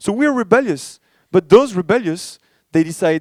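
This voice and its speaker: In a French accent, the speaker uses lively intonation, and the sound is dry and close with no echo. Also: man. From France. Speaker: startup ecosystem director, keynote speaker. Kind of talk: conference keynote. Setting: stage with audience. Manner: casual, many fillers and restarts.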